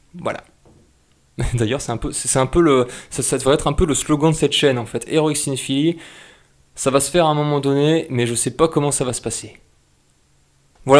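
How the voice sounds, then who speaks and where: In a very clean recording with a silent background, a man talks at a fairly quick pace and medium pitch with fairly even intonation. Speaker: YouTube channel creator. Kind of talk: casual channel update vlog. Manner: halting, many fillers.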